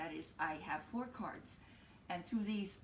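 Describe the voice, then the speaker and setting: In a somewhat breathy voice, a woman speaks with lively intonation. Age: 60s. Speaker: tarot reader. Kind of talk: tarot forecast to camera. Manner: hesitant, many fillers.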